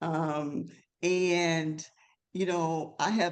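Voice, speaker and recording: Someone with a Mississippi accent speaks at a very slow pace. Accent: Southern US (Mississippi). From US South, North Mississippi. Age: 70s. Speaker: LGBTQ elder advocate. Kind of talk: webinar panel discussion.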